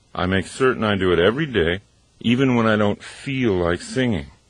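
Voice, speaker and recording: A man speaks with lively intonation at a moderate pace. Noticeable background noise can be heard. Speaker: motivational author and speaker. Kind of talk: audiobook narration, motivational talk. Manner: animated.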